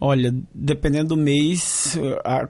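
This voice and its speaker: This man has a fairly high voice and talks in a flat, monotone way. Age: 30s. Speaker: graduate student. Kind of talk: vox pop interview.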